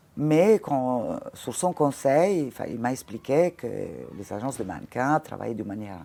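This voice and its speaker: A woman's very deep, low voice with an Italian accent and lively intonation. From Italy, Ravenna. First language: Italian (speaking French). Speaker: former fashion model and casting director. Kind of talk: interview conversation. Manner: halting, frequent hesitations.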